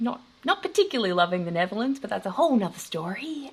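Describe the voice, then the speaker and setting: A woman with an Australian accent speaks at medium pitch with very wide pitch swings. Noticeable background noise is present. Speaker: online course coach. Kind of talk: casual interview chat.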